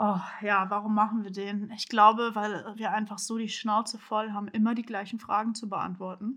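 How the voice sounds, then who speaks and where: Her fairly high voice has a bright, sharp tone and a monotone, flat intonation. The woman talks at a moderate pace. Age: 20s. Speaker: podcast co-host. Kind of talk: casual chat.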